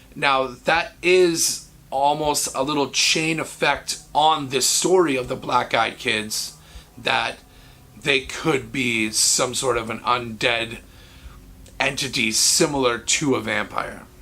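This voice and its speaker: A raspy, put-on character voice from a man, medium in pitch and fairly slow, with music in the background. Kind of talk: casual spooky storytelling. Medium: solo performance. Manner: conversational, earnest.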